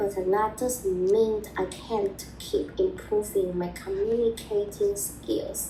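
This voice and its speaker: Against noticeable background noise, a woman speaks at a very slow pace with hardly any pauses. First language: Mandarin. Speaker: video blogger on language learning. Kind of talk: personal advice talk. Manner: halting.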